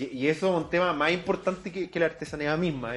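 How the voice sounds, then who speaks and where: Music plays in the background as a man speaks with a Chilean accent. His pace is fairly quick and his pitch variation ordinary. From Chile, Santiago area. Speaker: podcast host. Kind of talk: casual interview chat.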